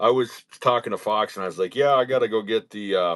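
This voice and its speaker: Here a man with an American accent talks at a fairly quick pace and medium pitch with lively intonation, on a very clean recording with a silent background. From northern US. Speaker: gun YouTuber. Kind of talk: casual chat. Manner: stumbles over words.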